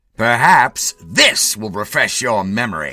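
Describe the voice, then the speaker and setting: Someone uses a put-on character voice at a fairly slow pace. Music sounds in the background. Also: man, medium pitch for a man. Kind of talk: courtroom speech. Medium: read story. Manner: insinuating.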